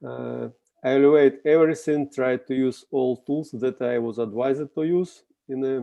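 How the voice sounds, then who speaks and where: A man talks with a Russian accent. His intonation stays fairly even. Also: medium pitch for a man, moderate pace. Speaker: contest juror. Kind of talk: video call discussion. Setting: video call. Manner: halting.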